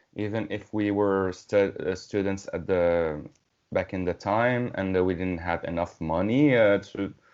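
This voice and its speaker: Speaking fairly slowly with a non-native accent, a man with a fairly low-pitched voice shows ordinary pitch variation. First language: not English. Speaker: metal band musician. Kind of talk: casual interview conversation. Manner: halting, many fillers.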